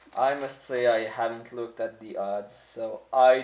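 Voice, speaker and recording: Against noticeable background noise, a man talks at medium pitch. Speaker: sports card collector. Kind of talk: box break commentary. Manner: casual.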